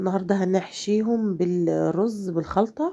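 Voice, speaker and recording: A woman with an Egyptian accent talks at a fairly slow pace in a medium pitch, her tone dark and mellow, with ordinary pitch variation. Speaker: home cook. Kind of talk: cooking tutorial. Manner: casual, hesitant with fillers.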